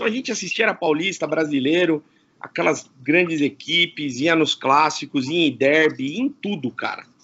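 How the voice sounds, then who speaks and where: This man's voice sits fairly high, and his intonation is lively. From Campinas, São Paulo state, Brazil. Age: 40s. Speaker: radio presenter. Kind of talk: casual interview chat. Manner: animated.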